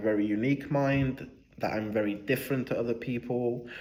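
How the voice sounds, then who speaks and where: A man at a medium pitch speaks with ordinary pitch variation, and audible room echo surrounds his voice. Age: 20s. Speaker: vlogger. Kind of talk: casual reflective monologue. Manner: hesitant with fillers.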